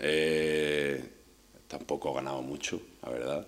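Speech unfolds at a very slow pace while noticeable background noise runs underneath. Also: man. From Spain, village near Córdoba, Andalusia. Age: 30s. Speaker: professional footballer. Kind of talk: personal storytelling monologue. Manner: hesitant, with fillers and repetitions.

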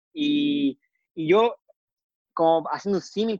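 The speaker is a man. He talks with a Chilean accent. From southern Chile, Temuco. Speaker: doctor and amateur triathlete. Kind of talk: interview. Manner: halting.

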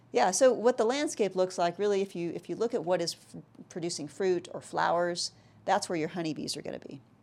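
An unremarkable speaking voice with an American accent moves at a fairly quick pace. The intonation is lively, with big swings in loudness. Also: woman, medium pitch for a woman. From South Texas. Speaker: tech startup CEO and architecture lecturer. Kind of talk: interview.

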